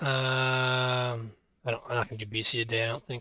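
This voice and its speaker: A man talks at a medium pitch. His pace is fairly quick. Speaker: math teacher streaming exam walkthrough. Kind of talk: live-streamed tutorial. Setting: live stream. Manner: casual thinking aloud with fillers; fast.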